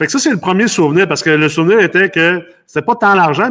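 A bright, sharp tone at a fairly quick pace against a quiet background. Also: man. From Los Angeles, US, then Quebec from adolescence. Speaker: real estate investor and company CEO. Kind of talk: casual interview. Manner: halting, many repetitions and fillers.

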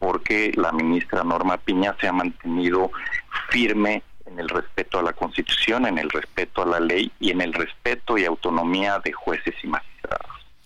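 A man's speech comes at a moderate speed, with noticeable noise in the background. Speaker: bar association lawyer. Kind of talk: phone interview.

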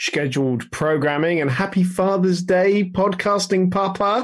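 A man speaks in an ordinary speaking voice at a moderate pace. His pitch is fairly high. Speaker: motorsport industry professional. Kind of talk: casual chat.

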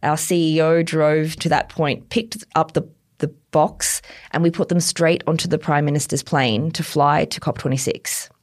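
In an Australian accent, a woman speaks at a moderate pace with a very deep, low pitch. The very clean recording has a silent background, her intonation is fairly even, and her loudness stays very even. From tropical far north Queensland, Australia. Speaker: chief operating officer of a climate technology company. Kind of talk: interview.

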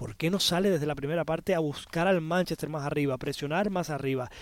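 On a very clean recording with a silent background and a dry, close sound with no echo, a man talks at a very fast pace in a high voice with ordinary pitch variation. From Spanish-speaking Caribbean. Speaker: football pundit. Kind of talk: sports analysis chat.

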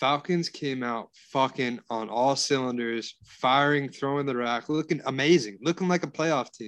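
An ordinary speaking voice from a man, fairly high in pitch, with ordinary pitch variation and a quiet background. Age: 40s. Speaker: sports betting podcast co-host. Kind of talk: casual chat.

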